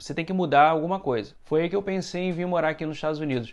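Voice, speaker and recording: Against a quiet background, a man with a Carioca accent and a fairly high-pitched voice talks at a very fast pace with fairly even intonation. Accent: Carioca (Rio de Janeiro). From Brazil, Rio de Janeiro. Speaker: vlogger. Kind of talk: personal vlog monologue.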